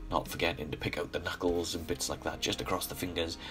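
Music plays in the background behind a man. His voice has a very deep, low pitch, and he speaks at a fairly quick pace. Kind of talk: painting tutorial voice-over. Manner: casual, friendly.

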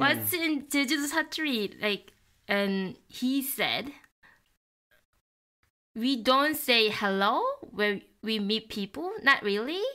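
A woman speaks in a high voice with a bright, sharp tone and lively intonation, moving at a very slow pace with long, frequent pauses over a quiet background. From Korea, Jeju. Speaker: dialect teacher. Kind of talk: podcast explanation. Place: home room. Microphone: studio mic.

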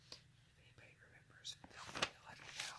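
Whispering at a moderate pace fills the clip. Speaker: coupon deal reviewer. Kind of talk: ASMR coupon review, whispered talk to camera. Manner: whispered. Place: home room. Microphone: phone near.

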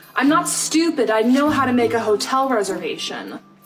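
Behind a woman speaking at a moderate speed, clear music plays. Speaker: guest. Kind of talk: acted comedy dialogue. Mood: exasperated, polite customer service tone. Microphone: phone near.

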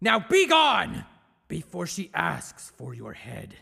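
In a put-on, raspy character voice, the man delivers his lines fairly slowly. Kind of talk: video game demo reel. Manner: formal, commanding.

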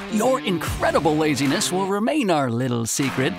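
Clear music sits behind a man who talks at a fairly quick pace and a fairly high pitch with very wide pitch swings, the sound dry with no echo. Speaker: voice actor. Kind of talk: TV commercial read. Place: booth.

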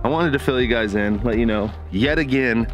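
Over faint background music, the speech moves at a fairly quick pace with ordinary pitch variation and a dry sound with no echo. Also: man. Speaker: vlogger. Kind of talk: casual vlog chat. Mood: relieved and upbeat. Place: open country. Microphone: phone near.

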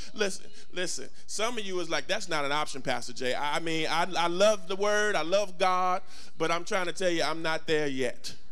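A man's high-pitched voice at a moderate pace, ordinary pitch variation, music in the background. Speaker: pastor. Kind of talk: sermon. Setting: church with congregation. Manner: animated, call-and-response preaching; emphatic, repeats lines for effect. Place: church. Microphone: handheld.

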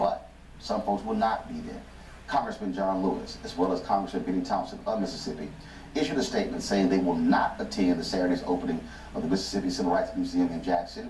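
Talking at a very fast pace, a man is heard with audible room echo and light background noise. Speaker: news anchor. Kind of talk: news commentary. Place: studio.

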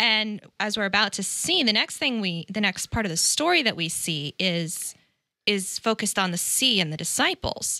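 The voice is bright and sharp, with lively intonation at a moderate pace. The sound is dry with no echo, and the background is quiet. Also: woman, medium pitch for a woman. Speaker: Bible study co-host, church staff. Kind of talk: casual Bible study discussion. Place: studio. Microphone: studio mic.

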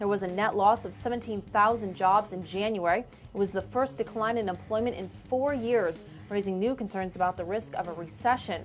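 Faint music plays behind a woman speaking at a fairly quick pace. She barely pauses and uses ordinary pitch variation. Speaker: news anchor. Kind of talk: news bulletin read. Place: studio. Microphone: lapel.

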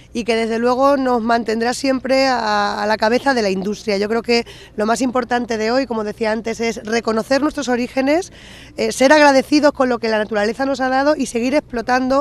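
At a fairly quick pace, a woman talks in a high pitch with fairly even intonation and a dry sound with no echo. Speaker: town mayor. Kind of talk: interview answer. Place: open country. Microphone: handheld.

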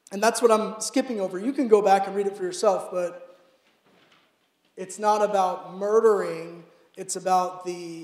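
Audible room echo surrounds a man with a high pitch. He speaks at a fairly slow pace with fairly even intonation. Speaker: preacher. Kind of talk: sermon. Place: church. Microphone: handheld.

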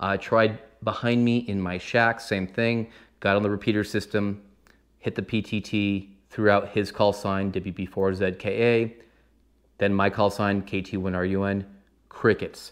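This man has a fairly low pitch and a flat, monotone intonation. He speaks at a fairly slow pace against a quiet background. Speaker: ham radio hobbyist. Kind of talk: casual explainer vlog. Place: home room.

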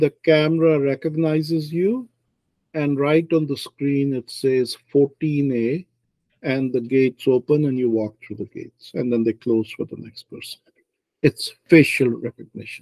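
A man talks at a moderate pace in a dark, mellow tone with ordinary pitch variation. His loudness swings widely over a quiet background. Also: dry sound with no echo. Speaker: author discussing his novel. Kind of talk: book club discussion. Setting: video call. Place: home room. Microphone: video call.

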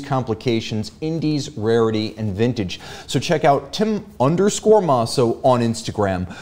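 Lively intonation marks this man's voice. He talks at a moderate pace. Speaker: show host. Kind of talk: live show hosting, greeting viewers. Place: studio. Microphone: studio mic.

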